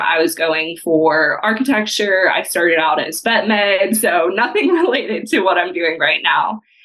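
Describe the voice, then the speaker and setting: Speaking at a moderate pace with a Texan accent, the voice swings very widely in pitch over noticeable background noise. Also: woman. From Texas. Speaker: property manager. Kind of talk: casual chat.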